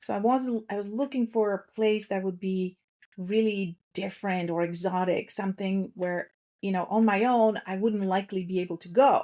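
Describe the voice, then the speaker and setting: A woman with a Russian accent speaks at a moderate pace in a dark, mellow, medium-pitched tone with fairly even intonation. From Slovakia. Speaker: transformation coach. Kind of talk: podcast interview.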